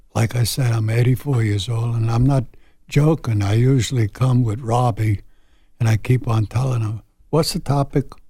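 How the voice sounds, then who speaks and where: A man speaks at a moderate pace in a medium pitch, his dark, mellow tone somewhat breathy and his intonation fairly even. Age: 80s+. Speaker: radio panelist. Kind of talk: casual chat.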